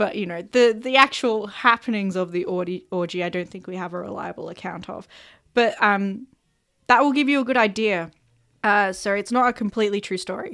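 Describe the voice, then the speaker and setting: With an Australian accent, a woman talks at a fairly quick pace and a medium pitch, with ordinary pitch variation and big swings in loudness. The recording is very clean, with a silent background. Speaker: world-building podcast host. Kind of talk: casual chat; reading notes aloud.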